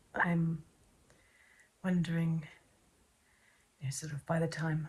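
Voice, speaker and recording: A soft-spoken woman with an English accent talks at a fairly slow pace. Her voice is fairly low and somewhat breathy. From England. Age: 30s. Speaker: vlogger. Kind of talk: casual chat.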